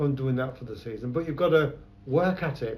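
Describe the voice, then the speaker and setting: Speaking with a London accent, a man uses a fairly high pitch and ordinary pitch variation, his voice somewhat breathy. The room echo is audible. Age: 70s. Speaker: photographer. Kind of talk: oral history interview. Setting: his shop.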